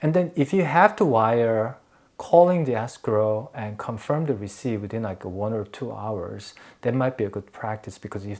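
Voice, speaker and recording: Fairly low-pitched male speech, moderately paced, with ordinary pitch variation. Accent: Korean. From Korea. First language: Korean. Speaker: realtor. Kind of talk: tutorial. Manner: halting.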